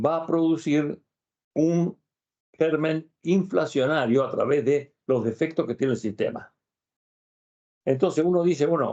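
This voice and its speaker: Dark and mellow in tone, a man's fairly high voice moves at a moderate pace with lively intonation. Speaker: labor law expert. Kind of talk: interview.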